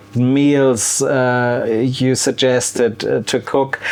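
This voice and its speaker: A German accent at a very slow pace, with noticeable background noise. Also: man. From Germany, wine region. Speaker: cooking youtuber. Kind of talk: casual Q&A vlog. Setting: outdoor beer garden. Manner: halting, many fillers and repeats.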